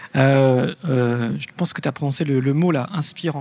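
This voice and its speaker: He is a man with a normal speaking voice, pitched fairly high. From Lyon, France. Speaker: radio podcast producer. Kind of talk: panel discussion.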